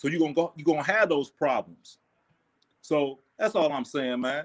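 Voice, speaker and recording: Using an ordinary speaking voice, a man with a fairly high pitch talks at a moderate pace with ordinary pitch variation. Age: 40s. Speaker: caller. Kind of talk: heated debate.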